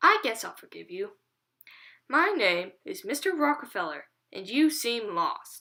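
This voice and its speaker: A woman's put-on character voice, gruff and high-pitched, with very wide pitch swings, big jumps in loudness and a moderate pace. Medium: read story. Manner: gruff, grumbling.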